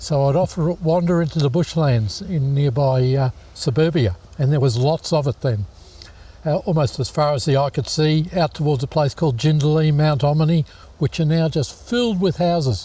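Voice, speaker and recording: In a very clean recording with a silent background, a man with an Australian accent speaks at a moderate pace in a fairly high, somewhat breathy voice with a dark, mellow tone, very even loudness and ordinary pitch variation. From Queensland, Australia (Brisbane). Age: 60s. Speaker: environmental educator and musician. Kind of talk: interview, life story.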